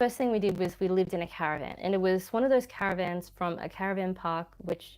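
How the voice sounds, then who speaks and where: A woman speaks very fast at a medium pitch, with an Australian accent. Her pitch varies in an ordinary way. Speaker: YouTuber. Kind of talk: livestream chat. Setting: at home, dining room. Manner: casual, rambling.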